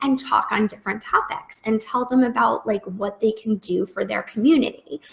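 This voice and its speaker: Her voice is high-pitched, and the woman uses ordinary pitch variation. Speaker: freelance business coach. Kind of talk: live webinar Q&A. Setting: live video stream. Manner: casual, many fillers.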